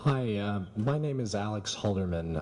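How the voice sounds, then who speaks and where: A man with an American accent talks at a moderate pace with audible room echo. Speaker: professor. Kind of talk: conference talk.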